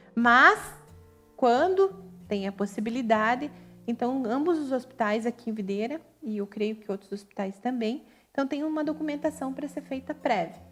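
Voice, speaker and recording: With music playing behind her, a woman talks at a moderate pace in a high pitch with lively intonation. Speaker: nurse. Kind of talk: live webinar presentation. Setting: online live stream.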